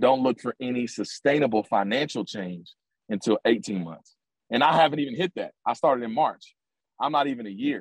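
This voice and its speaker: A man speaks at medium pitch and a moderate pace in a normal speaking voice, with lively intonation. The sound is dry and close with no echo. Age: 20s. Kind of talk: interview. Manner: filler-heavy, repetitive.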